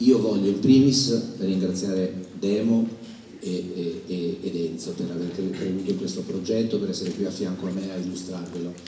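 A man speaks at a moderate pace in a very deep, low voice with ordinary pitch variation. Light background noise and audible room echo sit behind him. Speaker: theatre owner and event producer. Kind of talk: press conference speech. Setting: stage with audience. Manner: halting. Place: stage. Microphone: podium.

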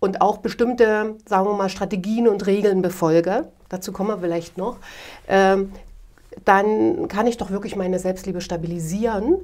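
A woman's voice at a moderate pace, with fairly even intonation against a quiet background. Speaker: guest. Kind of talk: interview answer. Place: home room.

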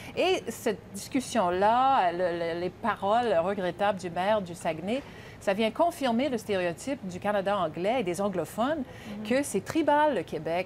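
A woman speaks at a fairly slow pace with lively intonation over light background noise. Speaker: political commentator. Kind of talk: panel discussion. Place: studio.

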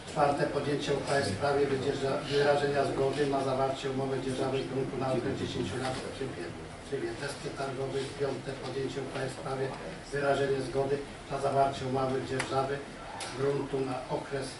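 Noticeable background noise and audible room echo around fairly quick talking. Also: man. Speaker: council session chair. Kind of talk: formal meeting agenda reading. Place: meeting room.

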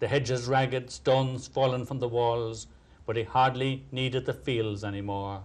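What we hear is plain reading aloud.

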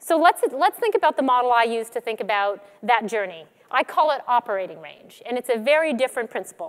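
The background is quiet. A woman speaks at a high pitch. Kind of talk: conference keynote talk. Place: stage. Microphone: headset.

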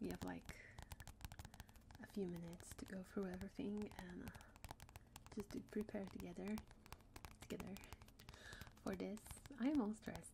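A soft-spoken, breathy woman at a moderate pace with ordinary pitch variation, long, frequent pauses and noticeable background noise. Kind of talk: ASMR roleplay chat. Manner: soft, breathy ASMR speech. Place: home room.

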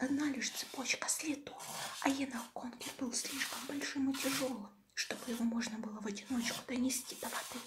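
Soft-spoken and whispering, a woman speaks at a moderate pace over noticeable background noise. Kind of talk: audiobook reading of a horror story, ASMR style. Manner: whispered, soft, relaxing.

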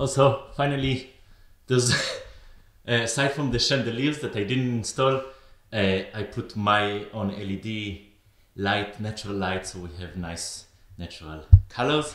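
With audible room echo, a man speaks at a fairly slow pace, leaving long, frequent pauses, with ordinary pitch variation. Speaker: maker vlogger. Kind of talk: casual vlog chat. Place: workshop. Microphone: phone near.

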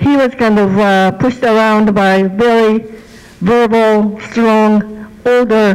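A woman with ordinary pitch variation and music in the background. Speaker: speaker, witness. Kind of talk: personal history talk. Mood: calm, reflective. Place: church. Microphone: handheld.

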